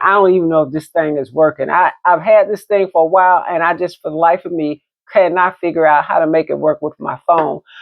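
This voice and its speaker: A woman's relaxed, fairly low-pitched voice at a fairly quick pace. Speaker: realtor and vintage handbag vlogger. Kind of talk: casual show-and-tell vlog. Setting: at home desk, phone camera. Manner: loud; chatty, relaxed.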